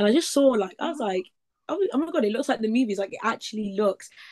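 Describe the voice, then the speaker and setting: A woman speaks in an East Midlands accent, the sound dry and close with no echo. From Leicester, East Midlands, England. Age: 20s. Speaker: summer camp counselor and travel content creator. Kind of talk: casual interview chat. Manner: animated.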